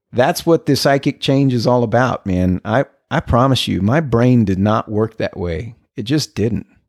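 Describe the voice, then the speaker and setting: A man with an American accent and an unremarkable speaking voice is heard in a dry, close sound with no echo on a very clean recording with a silent background. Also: medium pitch for a man, ordinary pitch variation, moderate pace. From El Paso, Texas. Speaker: recovering alcoholic sharing story. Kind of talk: interview, personal recovery story.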